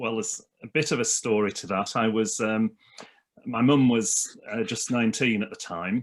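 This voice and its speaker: A man with a Lancashire accent speaks at a moderate pace. His pitch is medium and his intonation fairly even. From northern England (Leyland, Lancashire). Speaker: minister. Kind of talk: casual chat.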